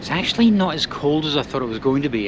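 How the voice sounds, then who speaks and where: Words rush out at a very fast pace while noticeable background noise carries on. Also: man. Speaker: travel vlogger. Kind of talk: casual vlog chat. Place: boat. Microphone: phone near.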